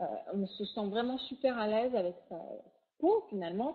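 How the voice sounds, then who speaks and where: This woman's voice has ordinary pitch variation. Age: 40s. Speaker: product distributor presenter. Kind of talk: sales pitch. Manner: animated.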